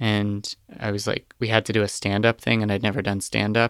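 In a very clean recording with a silent background and a dry, close sound with no echo, a man speaks at a fairly low pitch with vocal fry, a bright, sharp tone and ordinary pitch variation. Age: 20s. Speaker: podcast producer. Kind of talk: casual chat.

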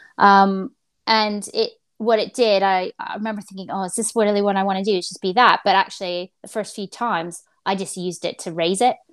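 A woman's medium-pitched, fairly quick speech in an ordinary speaking voice, with a dry, close sound with no echo and a very clean recording with a silent background. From rural Canada. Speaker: head of a spaceport. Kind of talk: casual interview.

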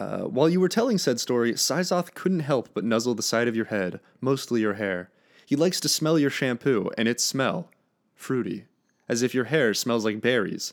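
A man with a plain, everyday voice speaks at a medium pitch and a moderate pace, his intonation lively. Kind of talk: casual podcast chat, fan fiction reading. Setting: online recording, Discord call.

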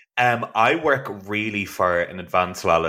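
This man has an Irish accent and a bright, sharp tone. He speaks at a moderate pace. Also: very clean recording, silent background. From Ireland. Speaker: actor and playwright, podcast host. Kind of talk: casual chat.

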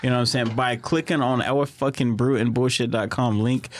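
A man talks in an ordinary speaking voice at a medium pitch with ordinary pitch variation. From Southeast Texas. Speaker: podcast host. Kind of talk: casual chat. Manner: casual, laid-back.

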